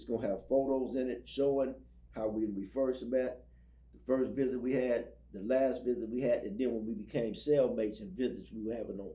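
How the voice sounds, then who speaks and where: With audible room echo, a man speaks at a medium pitch in a dark, mellow tone with vocal fry, ordinary pitch variation and big swings in loudness. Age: 60s. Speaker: ex-prisoner and prison ministry speaker. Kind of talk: interview testimony. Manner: halting, repeats words.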